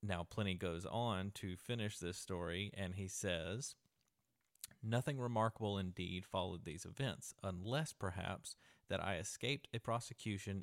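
A man speaks in an unremarkable speaking voice at a fairly low pitch. His pace is moderate, with ordinary pitch variation. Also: dry, close sound with no echo, very clean recording, silent background. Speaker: podcast host. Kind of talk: storytelling, reading a translated ancient letter aloud as a ghost story. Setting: traveling in Athens, Greece, recording a podcast. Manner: conversational, earnest, casually narrating.

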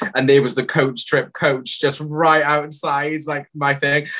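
A man with a South Wales accent speaks in a fairly high pitch with a bright, sharp tone. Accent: South Wales valleys. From South Wales valleys. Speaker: reality TV contestant. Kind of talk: casual chat.

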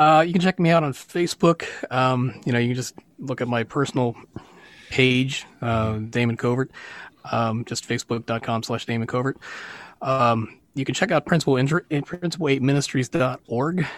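A man speaks at a moderate pace in a medium pitch with ordinary pitch variation, in an unremarkable speaking voice. The sound is dry and close, with no echo. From western Pennsylvania. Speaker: musician and worship leader. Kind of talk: interview testimony.

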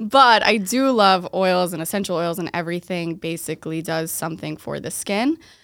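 A woman with an American accent and a plain, everyday voice talks at a moderate pace with hardly any pauses, in a fairly low pitch with ordinary pitch variation, in a very clean recording with a silent background. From Boston area, Massachusetts. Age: 20s. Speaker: esthetician and skincare business owner. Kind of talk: casual interview chat.

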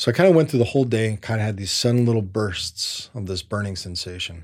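A very fast, somewhat breathy man at a fairly low pitch with ordinary pitch variation, on a very clean recording with a silent background. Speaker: adventurer and former Marine. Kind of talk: storytelling interview.

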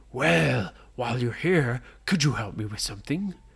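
This is a put-on character voice. Its pitch sits low-to-middle. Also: moderate pace. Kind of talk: bedtime story. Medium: read story.

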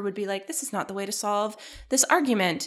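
Medium in pitch, this woman's voice moves along. She talks at a very fast pace. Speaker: guest co-host. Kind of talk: casual chat.

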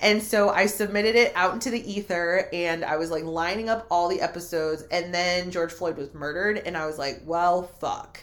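A woman's fairly low voice at a moderate pace, with ordinary pitch variation and hardly any pauses. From Mexican-American, US. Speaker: podcast host and witch. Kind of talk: casual chat.

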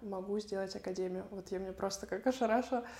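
A woman speaks with fairly even intonation. Noticeable noise sits in the background. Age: 20s. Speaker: tennis coach and academy founder. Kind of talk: interview.

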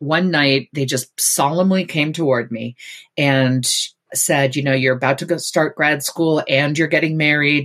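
A woman with an American accent speaks at a fairly slow pace in a very deep, low pitch, with fairly even intonation. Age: 50s. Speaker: author and former university dean. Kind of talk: interview.

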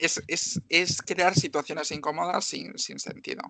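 A woman speaks fairly slowly in an unremarkable speaking voice, pitched fairly low. The sound is dry and close, with no echo. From Galicia, Spain (Marín, Pontevedra). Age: 20s. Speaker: X-ray technician and nursing student. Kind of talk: interview.

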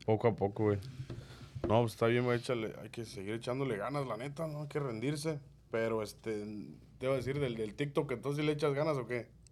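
At a medium pitch with ordinary pitch variation, a man speaks with long, frequent pauses. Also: fairly quick pace. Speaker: podcast host. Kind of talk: casual chat. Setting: studio.

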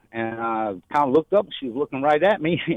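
With a Southern US accent, a man talks at a moderate pace in a fairly high voice. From Louisiana, Shreveport. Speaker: caller in recovery. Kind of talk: testimony.

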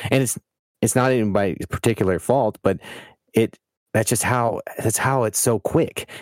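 Long, frequent pauses break up this man's speech at a moderate pace. His medium pitch comes through in a dry, close sound with no echo. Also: very even loudness. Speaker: podcast co-host. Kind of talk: casual chat. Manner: halting, with many filler words and restarts.

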